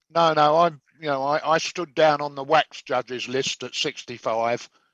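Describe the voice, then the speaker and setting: A man speaks with an English accent at a moderate pace, his pitch fairly high and his intonation fairly even. The sound is dry and close with no echo, over a quiet background. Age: 70s. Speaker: chef and competition judge. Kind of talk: casual chat. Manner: halting.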